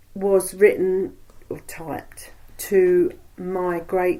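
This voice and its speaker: A woman speaks in a Cockney accent. Her pitch is medium and her tone is dark and mellow. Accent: East London Cockney. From East End of London. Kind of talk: oral history interview answer. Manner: chatty.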